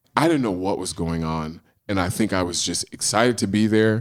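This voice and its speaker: A man with an American accent speaks in a very deep, low pitch. His tone is animated, his pace is moderate, and his pitch varies in an ordinary way. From US Pacific Northwest (Portland, Oregon). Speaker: screenwriter, storyteller and Broadway actor. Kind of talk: storytelling interview.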